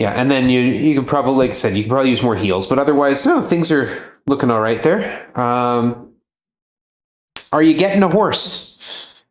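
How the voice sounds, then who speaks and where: With audible room echo, a man at medium pitch talks at a moderate pace, his intonation lively and his loudness very even. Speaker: speedrunner coaching the runner. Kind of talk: casual chat.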